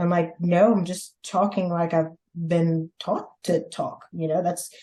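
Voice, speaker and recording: A woman speaks in a Louisiana accent at a fairly low pitch, her tone dark, mellow and somewhat breathy. Her intonation is monotone and flat, at a moderate pace. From Louisiana and Mississippi, US South. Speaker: podcast guest, host's sister. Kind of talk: casual interview.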